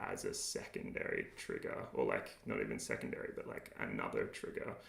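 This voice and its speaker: A man with an Australian accent at a moderate pace, with audible room echo. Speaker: game developer streamer. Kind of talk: live coding tutorial. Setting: livestream. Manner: casual, many filler words.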